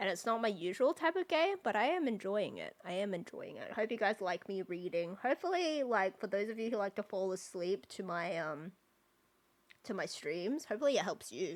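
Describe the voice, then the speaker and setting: In an Australian accent, a woman talks fairly quickly at a medium pitch, her voice making very wide pitch swings. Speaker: video game streamer. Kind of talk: casual live-stream chat.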